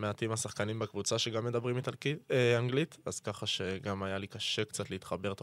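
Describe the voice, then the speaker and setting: On a very clean recording with a silent background and a dry, close sound with no echo, a man with a normal speaking voice and fairly low pitch talks at a moderate pace with hardly any pauses and ordinary pitch variation. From Israel, Tel Aviv. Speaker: professional footballer. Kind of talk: podcast interview.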